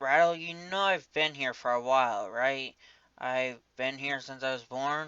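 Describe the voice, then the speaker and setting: At a moderate pace, a man uses a put-on character voice pitched medium. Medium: actual play.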